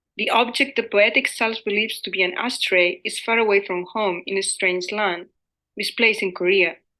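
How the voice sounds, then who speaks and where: Using a bright, sharp tone and a Spanish accent, a woman speaks at a moderate pace with ordinary pitch variation. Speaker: academic lecturer. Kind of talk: conference presentation. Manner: formal.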